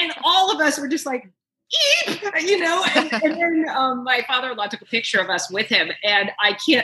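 Her voice raised and projected, a woman speaks at a high pitch and moderate pace with very wide pitch swings. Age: 60s. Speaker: actress, director and writer. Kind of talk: casual interview.

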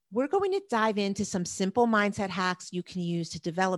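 A woman in a New Jersey accent, medium in pitch with lively intonation and a moderate pace, recorded dry and close with no echo over a quiet background. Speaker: productivity coach. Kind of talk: casual podcast chat.

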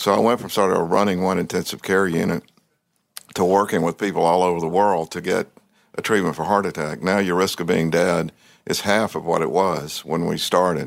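A man with a Southern US accent, very deep and low in pitch, with fairly even intonation at a fairly quick pace, in a very clean recording with a silent background. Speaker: cardiologist, former government health official. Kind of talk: interview.

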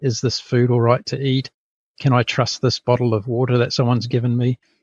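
Against a quiet background, a man with a New Zealand accent speaks at a moderate pace in a medium, somewhat breathy voice, the sound dry and close with no echo. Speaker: podcast founder, former corporate executive. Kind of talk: interview. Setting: remote call from a boat.

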